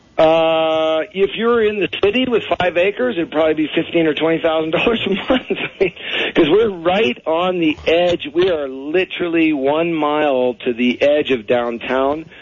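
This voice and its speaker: A fairly high-pitched man with lively intonation at a moderate pace, amid noticeable background noise. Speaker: expat guest. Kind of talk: casual radio interview. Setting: phone call.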